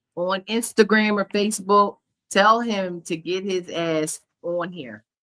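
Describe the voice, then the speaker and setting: Her pace is fairly slow. The woman's pitch varies in an ordinary way. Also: big swings in loudness, dry, close sound with no echo. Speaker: podcast host. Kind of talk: casual chat. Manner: loud.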